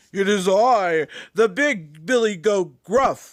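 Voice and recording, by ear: A man in a put-on character voice, very slow and high-pitched.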